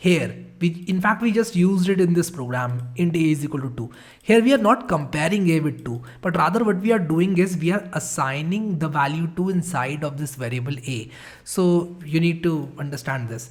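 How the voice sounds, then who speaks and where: A man with an unremarkable speaking voice, fairly high pitch and lively intonation. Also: moderate pace. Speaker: programming instructor. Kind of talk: tutorial.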